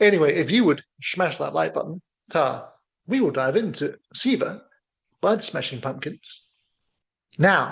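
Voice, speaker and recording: With a slight New Zealand accent, a man speaks fairly slowly in a high, playful voice whose pitch swings very widely. He takes long, frequent pauses against a quiet background. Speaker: music reaction youtuber. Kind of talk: casual reaction video commentary. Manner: playful, jokey.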